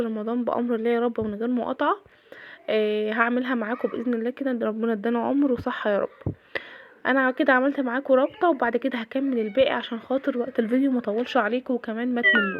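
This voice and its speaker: A woman's high-pitched voice at a fairly quick pace, intonation fairly even. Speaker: cooking and daily-routine vlogger. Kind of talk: casual vlog narration. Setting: home kitchen.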